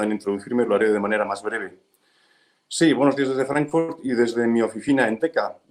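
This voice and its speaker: A man with a medium-pitched voice and ordinary pitch variation speaks at a fairly quick pace. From Spain. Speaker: real estate fund manager. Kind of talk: webinar presentation. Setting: video webinar from his office.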